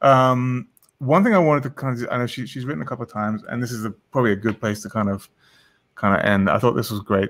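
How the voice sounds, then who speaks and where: Fairly quick male speech in an English accent. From England. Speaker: online show host. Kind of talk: casual interview chat. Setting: video call. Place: home room. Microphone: studio mic.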